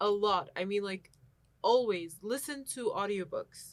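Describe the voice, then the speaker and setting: A woman speaks at a medium pitch in an Arabic accent. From Egypt. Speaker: university student. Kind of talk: casual chat.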